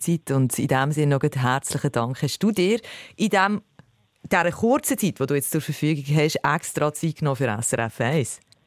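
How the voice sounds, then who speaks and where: With a Swiss accent, a woman talks at a moderate pace in a very deep, low pitch, her intonation lively and her loudness very even, on a dry, close recording with no echo that is very clean with a silent background. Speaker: radio host. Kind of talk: radio interview.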